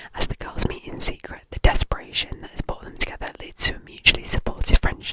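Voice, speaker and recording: A woman whispers at a fairly quick pace against noticeable background noise. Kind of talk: reading a book blurb. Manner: whispered.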